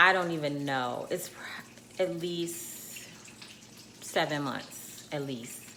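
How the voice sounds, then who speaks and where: A woman speaks very slowly in a very deep, low voice. The room echo is audible and the background noise is noticeable. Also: ordinary pitch variation. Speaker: lifestyle vlogger. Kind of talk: casual vlog.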